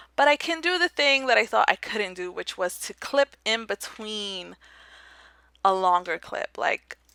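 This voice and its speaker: A woman speaks fairly slowly in a bright, sharp tone with a fairly high pitch, her pitch swinging very widely. Her loudness swings a lot, and the sound is dry and close with no echo. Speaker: gaming YouTuber doing speed builds. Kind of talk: casual voiceover commentary. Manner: rambling with fillers.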